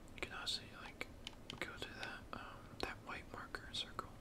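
Loud background noise sits under speech delivered at a fairly slow pace. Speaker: gamer. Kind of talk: casual gaming commentary, ASMR-style talk to camera.

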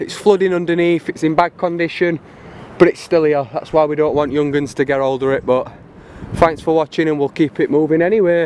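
The speaker keeps a fairly even intonation at a fairly quick pace, with light background noise and a dry sound that has no echo. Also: man. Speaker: explorer vlogger. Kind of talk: casual vlog chat. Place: forest. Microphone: phone near.

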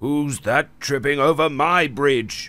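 Putting on a character voice, a man speaks fairly slowly in a fairly high pitch.

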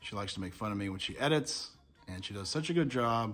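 A man talks at a very fast pace. Faint music plays in the background. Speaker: home cooking vlogger. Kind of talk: casual vlog chat. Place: home room. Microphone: phone near.

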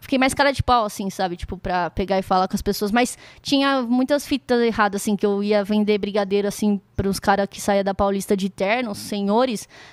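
A woman speaks with ordinary pitch variation. The sound is dry with no echo, over a quiet background. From Brazil, Campinas. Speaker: beatboxer. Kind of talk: casual interview. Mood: relaxed, reflective. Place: studio. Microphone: studio mic.

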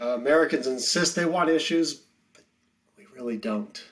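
With quiet behind him, a man talks at a moderate pace. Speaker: history teacher. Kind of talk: lecture. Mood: wry, informal. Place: home room.

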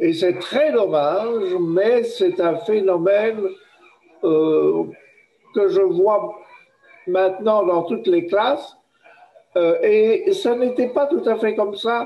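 A man speaks very slowly in a high voice, with long, frequent pauses. His loudness stays very even, and his pitch varies in an ordinary way. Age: old. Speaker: professor, workshop participant; professor. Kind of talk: group discussion. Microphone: video call.

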